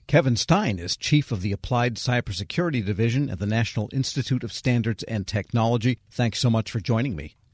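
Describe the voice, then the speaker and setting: Fairly quick and with hardly any pauses, a man of medium pitch speaks in a somewhat breathy voice with ordinary pitch variation, against a quiet background with a dry, close sound and no echo. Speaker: radio host. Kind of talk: interview.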